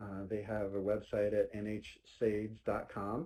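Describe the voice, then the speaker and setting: A man with a dark, mellow tone and a fairly low pitch talks at a fairly slow pace. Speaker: state transportation agency presenter. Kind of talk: webinar presentation. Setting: online webinar. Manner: loud.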